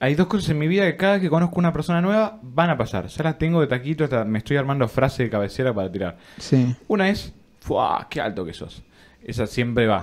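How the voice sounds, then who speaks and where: A man's fairly high voice swings very widely in pitch as he speaks at a very fast pace. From Argentina. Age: 20s. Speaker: podcast co-host, university student; podcast co-host. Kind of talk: casual chat. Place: studio. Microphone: studio mic.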